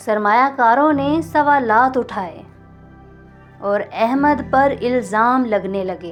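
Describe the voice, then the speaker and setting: Music plays in the background. The speaker is soft-spoken, with lively intonation. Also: woman. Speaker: audio novel narrator. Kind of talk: romantic audio novel reading. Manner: soft, emotional.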